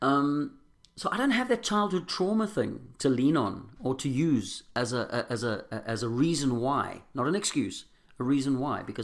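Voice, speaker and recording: In a South African accent, a man speaks at a moderate pace and a medium pitch. His intonation is lively. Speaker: recovering alcoholic sharing his story. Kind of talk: testimony. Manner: halting.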